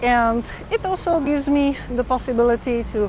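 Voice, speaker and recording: A woman speaks at a fairly slow pace with fairly even intonation. Noticeable background noise runs beneath her voice. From Czech Republic. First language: Czech. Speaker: vlogger. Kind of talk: live stream chat. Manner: halting, many fillers.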